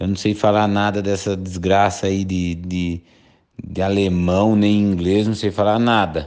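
A man speaks at a fairly slow pace in a flat, monotone delivery. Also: fairly low pitch for a man. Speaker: brewer's brother. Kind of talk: storytelling.

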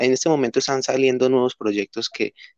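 In an ordinary speaking voice, a man talks at a medium pitch with fairly even intonation against a quiet background, the sound dry and close with no echo. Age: 20s. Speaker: industrial engineer, crypto investor. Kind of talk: casual interview.

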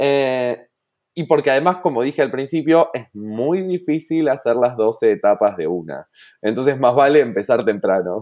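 On a very clean recording with a silent background, a man talks fairly slowly with lively intonation. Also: medium pitch for a man. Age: 30s. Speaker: entrepreneur. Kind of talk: interview. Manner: halting.

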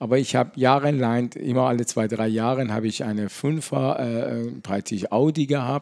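A man's dark, mellow voice, medium in pitch, with a non-native accent. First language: not German (speaking German). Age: 50s. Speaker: pharmacist. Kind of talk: casual interview. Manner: halting.

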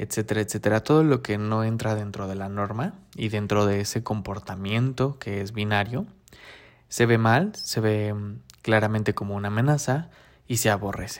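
In a very clean recording with a silent background, a man speaks at a moderate pace with a fairly low pitch. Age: 30s. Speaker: podcast host. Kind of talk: solo podcast monologue. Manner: hesitant, frequent fillers.

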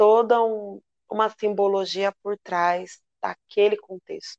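This woman has an unremarkable speaking voice, pitched in the medium range with fairly even intonation. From São Paulo metro area (ABC region). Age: 30s. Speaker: samba school flag bearer. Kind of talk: interview.

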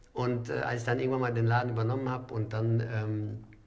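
The speaker talks at a fairly quick pace in a monotone, flat delivery, with audible room echo. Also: man. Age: 40s. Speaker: restaurant owner and wine merchant. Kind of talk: casual chat.

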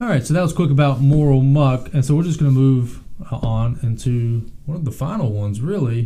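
The voice has a dark, mellow tone and is somewhat breathy. Its pitch variation is ordinary. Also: man. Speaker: podcast co-host. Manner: conversational, casual.

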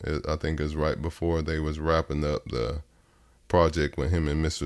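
A man with a Texas accent speaks in a very deep, low pitch with vocal fry. His intonation is monotone and flat, and his pace is moderate. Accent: Southern US (Texas). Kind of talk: interview.

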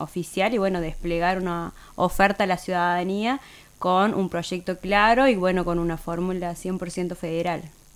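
On a very clean recording with a silent background, a woman uses a fairly low pitch and monotone, flat intonation. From Santiago del Estero, Argentina. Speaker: politician. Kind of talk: radio interview. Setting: studio.

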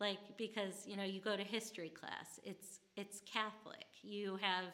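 A woman with an American accent speaks at medium pitch in a bright, sharp tone. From US Midwest, St. Louis, Missouri. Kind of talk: casual interview. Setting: convent retreat house on location.

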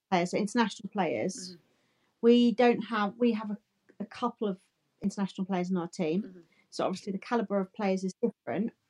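A woman's dark, mellow, somewhat breathy voice at a medium pitch, very fast pace and fairly even intonation, in a dry, close sound with no echo. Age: 30s. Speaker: women's football podcast co-host. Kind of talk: casual chat.

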